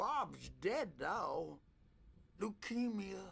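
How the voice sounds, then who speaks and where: A man's put-on character voice, high-pitched with a weary tone. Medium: video game. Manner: rambling, weary.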